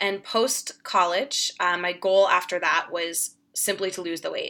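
A woman with an American accent at medium pitch, a bright, sharp tone, fairly even intonation and moderate pace, in a very clean recording with a silent background. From Boston suburbs, Massachusetts. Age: 30s. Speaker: nutrition practitioner and women's health coach. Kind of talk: interview, personal story.

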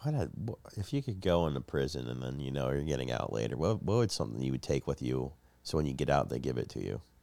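Talking very fast with lively intonation, a man has a very deep, low pitch, a dark, mellow tone and vocal fry. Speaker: comedian podcast co-host. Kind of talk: casual comedic banter.

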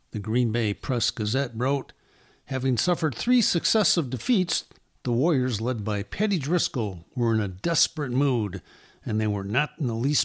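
On a very clean recording with a silent background and a dry, close sound with no echo, a man uses a plain, everyday voice at medium pitch with ordinary pitch variation. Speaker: football historian and author. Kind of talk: documentary-style narration of history, read aloud.

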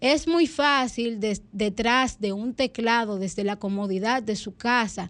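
A plain, everyday voice speaks at a fairly slow pace with ordinary pitch variation. The background is quiet. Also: woman. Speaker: radio host. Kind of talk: news reading. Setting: studio.

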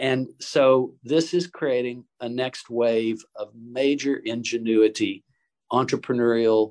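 Speaking with an American accent, a man has a normal speaking voice at medium pitch with ordinary pitch variation. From US South, Chattanooga, Tennessee. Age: 60s. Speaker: impact investor. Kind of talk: interview.

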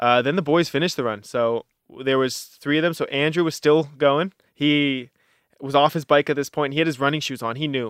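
This man has an unremarkable speaking voice, pitched fairly high. He talks at a fairly quick pace with fairly even intonation. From Canada, Halifax, Nova Scotia. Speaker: ultramarathon runner. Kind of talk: interview.

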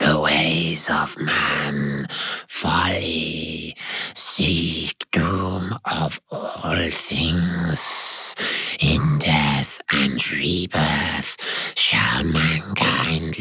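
Putting on a character voice, a man speaks very slowly in a raspy, very deep, low pitch. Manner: ominous, doom-laden.

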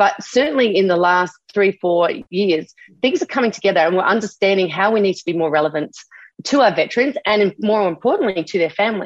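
Spoken in an Australian accent at a fairly quick pace, with lively intonation. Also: woman, medium pitch for a woman. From Australia, Adelaide. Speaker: army veteran. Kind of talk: interview. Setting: recorded interview.

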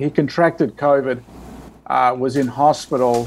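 A man speaks with an Australian accent. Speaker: priest and charity director. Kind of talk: interview. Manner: halting.

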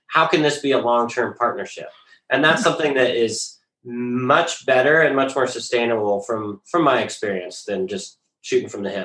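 A man with an American accent, a plain, everyday voice, ordinary pitch variation and a moderate pace. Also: medium pitch for a man. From rural Colorado, then Bellingham, Washington. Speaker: company founder. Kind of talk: interview.

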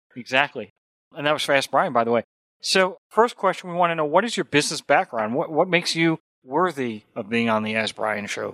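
Using a bright, sharp tone, a man with an American accent speaks at a fairly quick pace and a fairly high pitch. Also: dry, close sound with no echo. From New York. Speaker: radio host. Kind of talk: radio interview.

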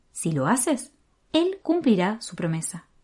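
Somewhat breathy and dark, mellow in tone, a woman with a slight Argentine accent speaks at a fairly high pitch and a fairly slow pace. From Argentina. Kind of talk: devotional meditation. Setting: home recording room.

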